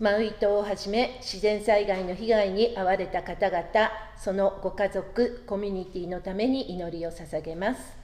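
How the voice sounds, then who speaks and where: Here a woman speaks at a moderate pace in a medium pitch. Her intonation stays fairly even. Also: hardly any pauses. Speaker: worship leader. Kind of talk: prayer. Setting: church. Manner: formal. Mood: calm, reverent.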